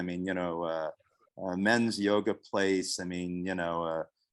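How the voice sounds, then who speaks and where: Very deep and low, a man's voice moves at a moderate pace. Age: 70s. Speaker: yoga retreat co-founder. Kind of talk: casual chat.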